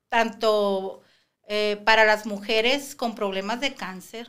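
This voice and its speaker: With fairly even intonation, a woman speaks at a fairly slow pace. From Mexico, Sinaloa (Guasave area); Sinaloa, Mexico. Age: 50s. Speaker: preschool teacher, cancer survivor; podcast guest. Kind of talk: podcast interview. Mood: earnest, reflective. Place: studio. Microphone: studio mic.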